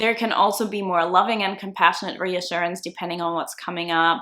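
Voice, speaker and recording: Over a silent background in a very clean recording, a woman talks with a non-native accent at a fairly low pitch. Her tone is bright and sharp, her intonation monotone and flat. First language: not English. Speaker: self-concept coach. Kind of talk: video tutorial.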